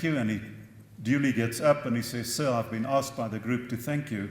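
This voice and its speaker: A man talks at a fairly quick pace with ordinary pitch variation. The room echo is audible. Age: 60s. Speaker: professor. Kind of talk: conference talk.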